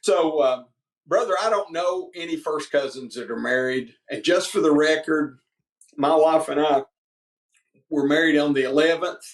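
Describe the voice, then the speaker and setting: A man's fairly high voice in a Southern US accent, moderate pace, ordinary pitch variation and long, frequent pauses. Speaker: politician, state representative running for governor. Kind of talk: interview. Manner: animated storytelling.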